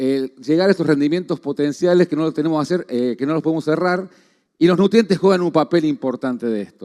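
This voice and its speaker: A fairly high-pitched man with a dark, mellow tone at a very fast pace, ordinary pitch variation, in a dry, close sound with no echo. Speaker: agronomy researcher. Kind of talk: conference talk. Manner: halting.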